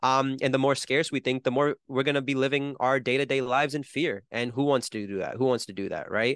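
In an American accent, a man with a normal speaking voice talks at a fairly quick pace with medium pitch and fairly even intonation against a quiet background. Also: dry, close sound with no echo. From New Jersey, US. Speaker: musician and entrepreneur. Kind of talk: casual interview conversation.

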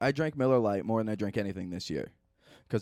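The man has a normal speaking voice at a fairly low pitch with ordinary pitch variation, captured as a dry, close sound with no echo in a very clean recording with a silent background. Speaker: podcast host. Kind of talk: casual chat. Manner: joking.

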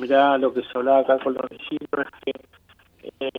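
The man's pitch is fairly high, and his pace is fairly quick. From Argentina, Greater Buenos Aires (Avellaneda/Quilmes). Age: 40s. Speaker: community leader in a shantytown. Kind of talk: interview. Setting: phone call. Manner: halting, many fillers and repetitions.

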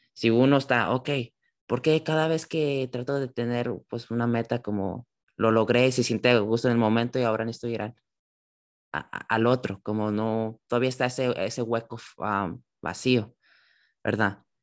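A man at a medium pitch with fairly even intonation, over a quiet background. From California, San José. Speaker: church youth Bible discussion host. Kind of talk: Bible study conversation. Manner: halting, with many fillers.

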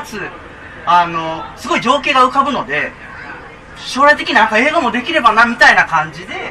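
A man speaks in a raised, projected voice at an extremely high pitch, his tone swinging very widely. He keeps a moderate pace over crowd noise in the background. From Japan, Nara Prefecture. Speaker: documentary film director. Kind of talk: casual interview chat. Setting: live public recording at a cafe with audience.

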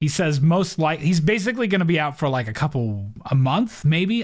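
In a very clean recording with a silent background, a man with a fairly high pitch talks at a moderate pace with hardly any pauses, very wide pitch swings and very even loudness. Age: 30s. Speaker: podcast host. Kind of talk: casual chat.

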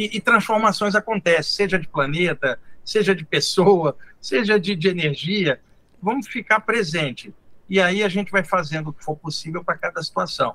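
A man's raised, projected voice, high in pitch with a bright, sharp tone, at a moderate pace. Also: ordinary pitch variation. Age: 60s. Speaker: spiritual teacher. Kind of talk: casual interview.

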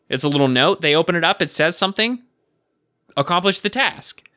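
Bright and sharp in tone, a man speaks at a fairly quick pace with ordinary pitch variation. The recording is very clean and silent behind him, dry and close with no echo. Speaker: podcast co-host. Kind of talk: casual chat. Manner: joking, banter-heavy.

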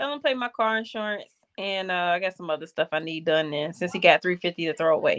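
A woman with an unremarkable speaking voice talks at a fairly quick pace in a fairly low pitch, with ordinary pitch variation. The sound is dry and close with no echo, over a quiet background. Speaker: podcast co-host. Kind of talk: casual chat.

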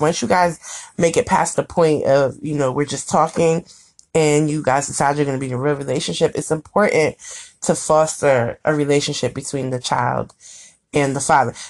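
A woman's voice, very deep and low in pitch, is heard over a quiet background. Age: 30s. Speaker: blogger and podcast co-host. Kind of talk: casual chat. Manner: animated.

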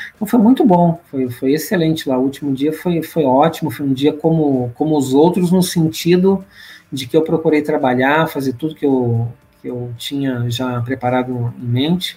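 Here a man speaks at a fairly high pitch with ordinary pitch variation. His voice is somewhat breathy. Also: moderate pace. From Brazil, Rio de Janeiro. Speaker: church leader and returned missionary. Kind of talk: podcast interview.

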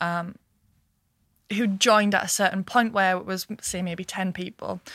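In a northeast English accent, a woman speaks at a fairly slow pace in a flat monotone with a bright, sharp tone, recorded dry and close with no echo against a silent background on a very clean recording. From northeast England (Washington). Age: 20s. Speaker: business founder and managing director. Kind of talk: interview. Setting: studio.

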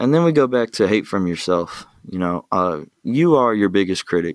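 Over a very clean recording with a silent background, a man with a normal speaking voice talks at a moderate pace in a fairly low pitch with lively intonation and a dry, close sound with no echo. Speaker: podcast host. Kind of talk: solo motivational talk. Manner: casual, conversational, filler-heavy.

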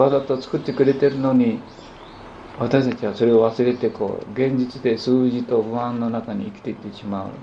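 A man at medium pitch and moderate pace, with big swings in loudness, audible room echo and noticeable background noise. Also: fairly even intonation. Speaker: potter and spiritual teacher. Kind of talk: lecture. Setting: small gathering in a private home.

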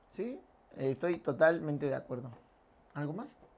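A man talks in a Mexican accent at a moderate pace. His tone is animated. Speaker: podcast co-host. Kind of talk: casual chat.

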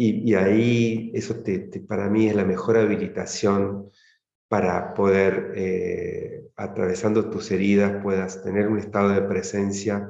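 A dark, mellow tone with monotone, flat intonation. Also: man. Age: 50s. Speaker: tantra practitioner leading men's circles. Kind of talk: interview conversation.

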